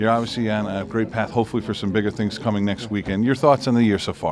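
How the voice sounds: A man talks at a fast pace in a fairly low pitch, his intonation fairly even and his tone slightly mellow.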